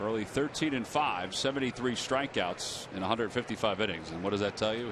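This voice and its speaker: At a fairly quick pace, the speaker's pitch varies an ordinary amount over noticeable background noise. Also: man. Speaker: play-by-play announcer. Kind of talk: live commentary.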